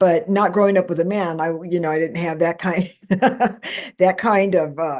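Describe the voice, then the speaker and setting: This woman has an unremarkable speaking voice. Her pitch is fairly low, with ordinary pitch variation. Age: 60s. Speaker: paranormal experiencer and author. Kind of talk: interview.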